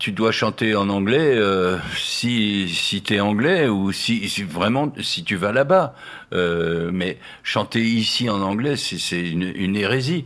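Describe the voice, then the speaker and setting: A man speaks at a very slow pace in a fairly low pitch with ordinary pitch variation. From Nancy, France. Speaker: singer-songwriter, painter, poet. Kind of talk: radio interview answer. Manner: hesitant, reflective.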